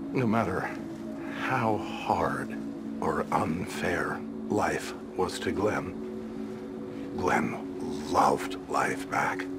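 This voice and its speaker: With music in the background, a man speaks at a very slow pace. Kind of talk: scripted dramatic monologue. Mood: reflective, wistful, tender.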